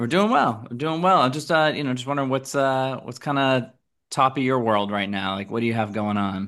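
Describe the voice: A man with an American accent talks at a fairly quick pace and medium pitch, his tone fairly bright. The recording is very clean with a silent background, and his pitch varies in an ordinary way.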